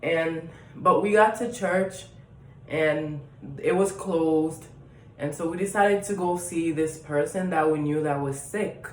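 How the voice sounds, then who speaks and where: Speaking at a fairly slow pace with a Haitian accent, a woman uses a fairly low pitch and ordinary pitch variation, with noticeable background noise and audible room echo. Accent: Haitian accent, still noticeable. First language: Haitian Creole. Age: 20s. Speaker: vlogger. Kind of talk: casual storytelling vlog. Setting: at home. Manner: hesitant, many fillers.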